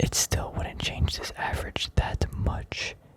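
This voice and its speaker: Someone whispers in a relaxed tone over noticeable background noise. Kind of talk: whispered ASMR stock analysis. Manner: whispered; relaxed, rambling.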